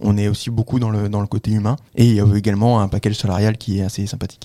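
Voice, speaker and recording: The voice has a dark, mellow tone and monotone, flat intonation, delivered at a very fast pace. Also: man. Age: 20s. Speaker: cybersecurity consultant. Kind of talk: interview. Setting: studio.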